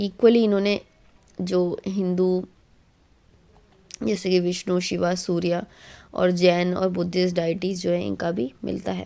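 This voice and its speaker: The tone is dark and mellow, with fairly even intonation. Long pauses come often. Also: woman, medium pitch for a woman. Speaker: exam coaching teacher. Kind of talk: tutorial. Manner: halting.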